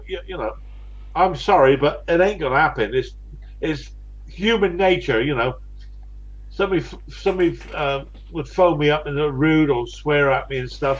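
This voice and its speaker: A man with a West Country accent at a moderate pace. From West Country, England. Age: 60s. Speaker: live streamer. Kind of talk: casual chat. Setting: live stream.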